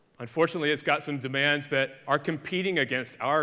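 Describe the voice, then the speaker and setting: A man speaks at a moderate pace in a fairly high voice with a bright, sharp tone. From Alabama, US South. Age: 40s. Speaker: conservationist. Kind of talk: conference keynote talk. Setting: stage with audience.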